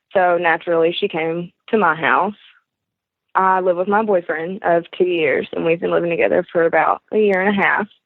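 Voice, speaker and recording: A woman with a Southern US accent speaks at a moderate pace and a fairly low pitch. Her intonation is monotone and flat, her loudness very even. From Arkansas. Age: 20s. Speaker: caller. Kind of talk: advice call. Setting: phone call.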